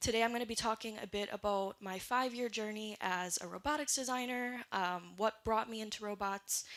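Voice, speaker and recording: Talking at a fairly quick pace with hardly any pauses, a woman has a strong Canadian accent. Her fairly high voice keeps a fairly even intonation. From Great Lakes region, Canada side (Anishinaabe community). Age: 20s. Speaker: robotics designer and education charity founder. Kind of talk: conference talk. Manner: casual, with frequent fillers.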